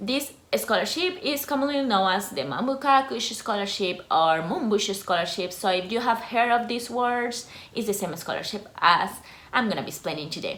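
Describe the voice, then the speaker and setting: A woman with a Costa Rican accent talks at a moderate pace, her fairly high pitch swinging very widely. Room echo is audible, and background noise is noticeable. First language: Spanish. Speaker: YouTuber, former scholarship student. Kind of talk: informational vlog.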